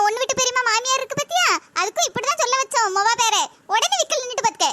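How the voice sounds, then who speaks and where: In a cartoonish character voice, a woman speaks at an extremely high pitch and a fairly quick pace with ordinary pitch variation, the sound dry and close with no echo. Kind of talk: comic village gossip. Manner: boastful, chatty.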